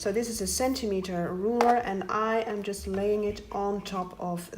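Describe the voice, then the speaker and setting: Speaking at a fairly slow pace in a Dutch accent, a woman with a medium pitch keeps her intonation fairly even, with audible room echo and noticeable background noise. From Netherlands. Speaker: paper craft tutorial maker. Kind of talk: tutorial.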